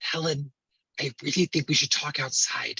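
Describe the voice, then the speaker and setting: In a raspy, whispered character voice that is put on, the speaker keeps a moderate pace. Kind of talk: hushed, urgent. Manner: whispering.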